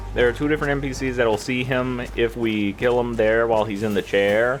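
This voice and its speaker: Noticeable background noise sits behind a man with a medium pitch. He speaks at a moderate pace with fairly even intonation. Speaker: video game commentator. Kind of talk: gameplay walkthrough commentary. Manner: casual, conversational; occasional stuttering.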